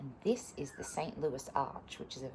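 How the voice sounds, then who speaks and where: Noticeable background noise and audible room echo surround a woman with an Australian accent. She talks at a moderate pace. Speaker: teacher reading stories to pupils. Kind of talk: reading aloud.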